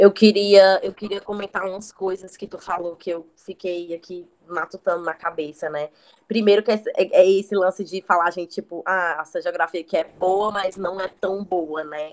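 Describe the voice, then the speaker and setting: Recorded with a dry, close sound and no echo, a woman speaks at a medium pitch in a monotone, flat intonation, with big swings in loudness. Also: moderate pace, hardly any pauses. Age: 20s. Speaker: recent geography graduate. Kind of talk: casual chat.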